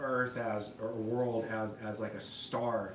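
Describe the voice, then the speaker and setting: A man with an American accent speaks at a fairly slow pace. Noticeable background noise and audible room echo surround him. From Texas. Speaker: pianist and composer livestreamer. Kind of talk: casual livestream monologue. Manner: halting, many repetitions and fillers.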